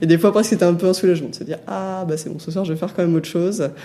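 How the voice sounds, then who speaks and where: A woman talks. Background noise is clearly noticeable behind her. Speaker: former online gamer. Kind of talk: interview answer. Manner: soft-spoken.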